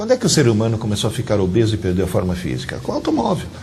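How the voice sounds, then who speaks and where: A man's very fast speech with very wide pitch swings, over noticeable background noise. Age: 60s. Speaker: teacher. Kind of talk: interview.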